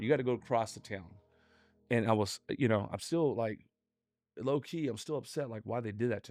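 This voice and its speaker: Music plays behind a man with an American accent at medium pitch. He talks at a very fast pace with ordinary pitch variation. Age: 40s. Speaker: entrepreneur. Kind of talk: casual interview. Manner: animated.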